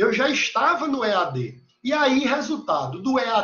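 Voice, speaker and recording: A man's pitch rises and falls across a very wide range as he talks at a fairly slow pace. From Recife, northeastern Brazil. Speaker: university lecturer. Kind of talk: lecture. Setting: video call. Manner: animated.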